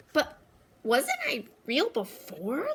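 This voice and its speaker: A woman's high, put-on character voice with very wide pitch swings. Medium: read story. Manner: timid, innocent.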